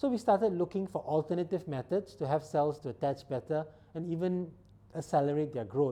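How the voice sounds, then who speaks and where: Speaking at a fairly quick pace, the voice carries a non-native accent. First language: not English. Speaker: biomedical scientist and startup founder. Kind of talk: interview monologue about career. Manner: halting with fillers.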